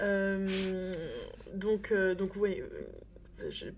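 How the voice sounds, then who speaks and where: Audible room echo around a woman's voice of medium pitch. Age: 30s. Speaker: communications consultant and deputy mayor. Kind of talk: casual chat. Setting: at home by a fireplace.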